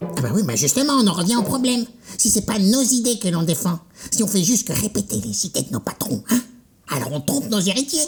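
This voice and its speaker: A female-sounding cartoonish character voice at a medium pitch for a woman, at a fairly quick pace. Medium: puppet show. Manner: musing, wide-eyed.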